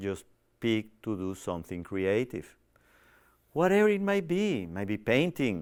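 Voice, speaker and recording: Recorded very cleanly against a silent background, a man talks with a non-native accent. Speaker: TV show host on personal growth. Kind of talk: inspirational self-help talk. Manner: hesitant, many fillers.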